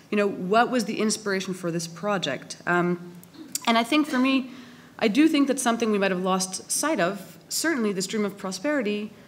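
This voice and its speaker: A woman with a Canadian accent has a normal speaking voice and medium pitch. She talks at a moderate pace with lively intonation. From Canada. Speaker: philosopher, panel speaker. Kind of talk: public panel debate talk.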